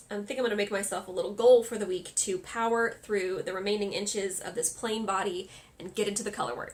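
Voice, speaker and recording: Fairly quick in pace, a woman talks at medium pitch in an unremarkable speaking voice. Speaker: crafting podcaster. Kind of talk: casual podcast monologue.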